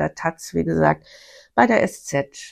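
The recording is very clean with a silent background as a woman talks fairly slowly. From Bavaria (Bavarian Forest). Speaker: podcast host, self-employed former marketing manager. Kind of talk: personal storytelling monologue. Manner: animated.

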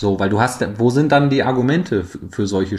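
Ordinary pitch variation and a moderate speed in a man's normal speaking voice. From East Frisia, northern Germany. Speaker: football club PR officer. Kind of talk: casual chat.

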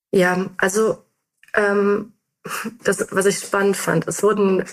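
Speaking at a fairly slow pace, a woman holds a medium pitch. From Germany, North Rhine-Westphalia. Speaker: mobility researcher. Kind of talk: interview.

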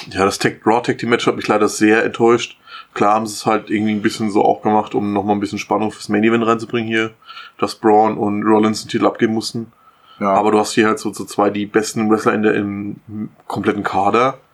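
A man talks at a fairly quick pace. His pitch is fairly low, and his intonation is a flat monotone. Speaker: podcast co-host. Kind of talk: casual chat. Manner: laughs a lot.

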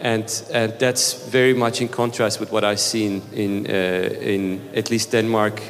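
A man talks with a Turkish accent. There is noticeable background noise. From Turkey. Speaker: startup founder. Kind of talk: panel discussion. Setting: stage with audience.

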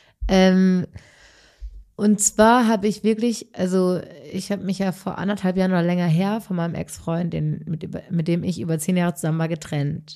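At a moderate pace, the speech carries a dark, mellow tone and a fairly even intonation. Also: woman, medium pitch for a woman. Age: 30s. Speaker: podcast co-host. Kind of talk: casual chat.

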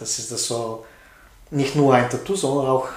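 Amid noticeable background noise and audible room echo, a man of medium pitch speaks with a Bulgarian accent and fairly even intonation. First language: Bulgarian (speaking German). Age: 40s. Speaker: tattoo artist. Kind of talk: casual interview. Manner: halting.

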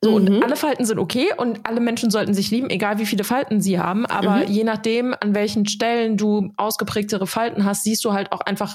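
A woman speaks in a normal speaking voice with fairly even intonation. Her pitch is medium. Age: 30s. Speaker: podcast co-host. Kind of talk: casual chat.

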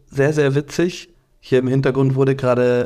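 A man's medium-pitched, dark and mellow voice at a moderate pace, with monotone, flat intonation. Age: 30s. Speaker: podcast co-host. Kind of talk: casual chat.

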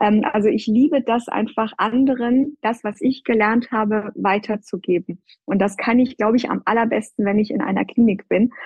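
A woman talks at a moderate pace with hardly any pauses, ordinary pitch variation, and an ordinary speaking voice. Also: fairly high pitch for a woman. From Iran. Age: 30s. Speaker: plastic surgeon, hospital department head. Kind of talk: interview.

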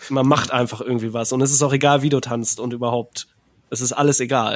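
A man's medium-pitched voice in a monotone, flat intonation. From Ruhr area, Germany. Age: 30s. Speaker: composer and podcaster. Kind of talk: casual chat.

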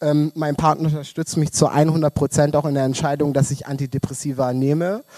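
A man's fairly high-pitched voice, dark and mellow in tone, flat and monotone, at a moderate pace, with a dry, close sound and no echo. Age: 20s. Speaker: podcast guest, queer community worker. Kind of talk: casual chat. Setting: stage in a club, live-streamed.

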